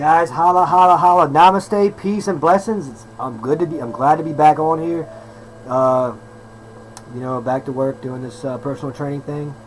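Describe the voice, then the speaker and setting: The speaker talks at a moderate pace with ordinary pitch variation over noticeable background noise. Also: man. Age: 30s. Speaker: personal trainer and vlogger. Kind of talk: casual monologue vlog.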